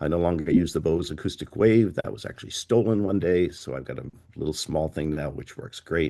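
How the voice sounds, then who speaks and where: Against a quiet background, a man talks at a very fast pace with lively intonation and vocal fry. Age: 60s. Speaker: portable planetarium operator. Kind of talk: presentation.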